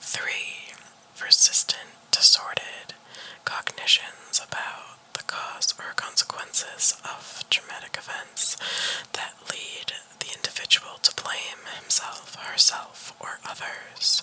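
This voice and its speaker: A whisper moves along very slowly. Background noise is noticeable throughout. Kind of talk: ASMR whisper reading of clinical diagnostic criteria. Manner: whispered.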